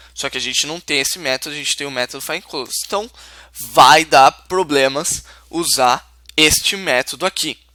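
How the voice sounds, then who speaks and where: A man talks at a moderate pace with ordinary pitch variation and a bright, sharp tone, in a dry, close sound with no echo. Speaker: programming teacher. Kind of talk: tutorial.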